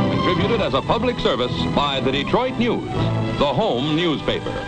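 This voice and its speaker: Loud music plays in the background as the speech moves at a moderate pace. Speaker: newsreel narrator. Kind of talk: vintage newsreel narration. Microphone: old recording.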